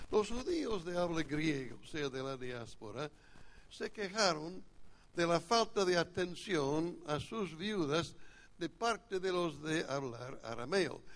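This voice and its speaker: A man with a strong North American accent talks very slowly at a high pitch with lively intonation. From United States. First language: English (speaking Spanish). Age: old. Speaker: pastor. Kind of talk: sermon. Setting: church retreat, seated.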